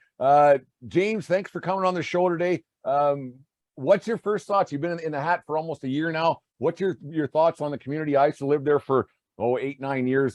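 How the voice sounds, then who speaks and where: A man with a Canadian accent, a plain, everyday voice, ordinary pitch variation, a fairly quick pace, and a dry, close sound with no echo over a quiet background. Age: 40s. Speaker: podcast host and baseball umpire. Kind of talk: casual interview chat.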